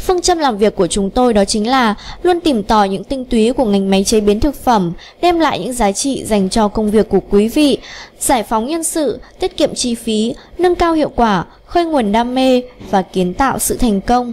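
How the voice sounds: Speaking at a moderate pace, a woman uses a fairly high pitch, lively intonation and a slightly mellow tone.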